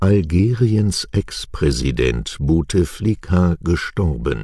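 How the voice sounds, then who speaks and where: Very slowly, a man speaks in a very deep, low voice with a dark, mellow tone and a somewhat breathy quality. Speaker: news presenter. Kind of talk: news reading. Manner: clear articulation.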